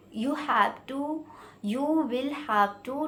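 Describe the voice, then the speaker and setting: A woman with an Indian accent speaks at a very slow pace. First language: Hindi. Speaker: English learning vlogger. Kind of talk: informal tutorial. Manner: halting, with many fillers.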